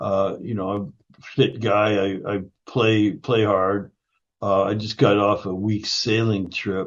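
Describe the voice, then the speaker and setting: A man's ordinary speaking voice, fairly low in pitch, fairly slow, with fairly even intonation. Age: 60s. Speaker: functional nutrition educator and founder. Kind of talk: interview conversation.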